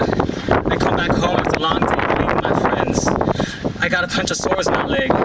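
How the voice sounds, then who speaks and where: The speaker keeps a moderate pace while noticeable background noise carries on behind. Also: man. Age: 20s. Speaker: spoken word poet. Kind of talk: spoken word poetry performance. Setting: live event, outdoors. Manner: emotional, heartfelt.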